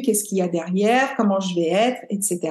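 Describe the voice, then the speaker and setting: Speaking at a moderate pace with fairly even intonation, a woman has a plain, everyday voice. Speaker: podcast host and yoga teacher. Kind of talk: interview conversation.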